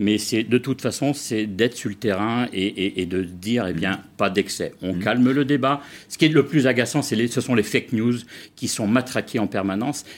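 A man's medium-pitched voice shows ordinary pitch variation as he talks at a moderate pace. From Vendée, western France. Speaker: cereal farmer. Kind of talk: TV interview. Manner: halting.

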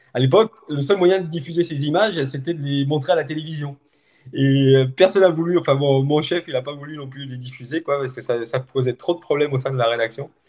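A man with an ordinary speaking voice talks at a fairly high pitch and a fairly quick pace. His pitch variation is ordinary, but his loudness swings widely. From France, Haute-Savoie. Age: 50s. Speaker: journalist and trail runner filming races. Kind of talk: casual interview chat.

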